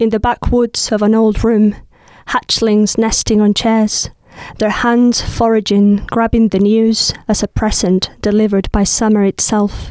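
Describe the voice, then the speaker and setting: A woman with a Spanish accent speaks fairly slowly in a fairly high, dark, mellow voice, her intonation monotone and flat, the sound dry and close with no echo. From southern Spain. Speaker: poet. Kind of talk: casual chat with poetry readings.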